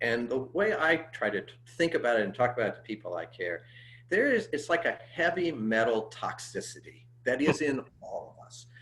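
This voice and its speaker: A man with an American accent speaks at a moderate pace in a medium pitch. His pitch swings very widely, and his loudness rises and falls sharply. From US Midwest (Cincinnati and St. Louis). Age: 60s. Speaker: pastor. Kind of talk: interview conversation. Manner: halting, many fillers.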